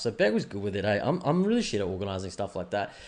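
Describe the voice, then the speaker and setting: With an Australian accent, a man is speaking. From Australia, Brisbane. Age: 30s. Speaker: podcast host. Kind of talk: casual chat. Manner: fast.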